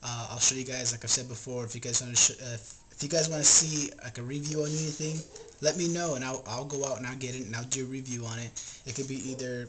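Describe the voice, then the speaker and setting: Noticeable background noise sits under the recording. Over it, a man speaks very fast. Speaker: fishing video host. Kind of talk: casual vlog chat. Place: home room. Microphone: webcam.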